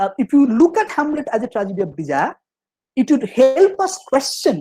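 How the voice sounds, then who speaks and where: A man speaks at an extremely high pitch in a dark, mellow tone. His pitch swings very widely. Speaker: professor. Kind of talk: lecture. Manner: fast; halting, many fillers and restarts.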